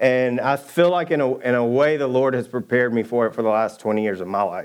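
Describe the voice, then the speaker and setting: Man with a Southern US accent, medium pitch, ordinary pitch variation, fairly quick pace. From US South, Georgia. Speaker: church elder preaching. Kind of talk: sermon. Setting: church stage with congregation.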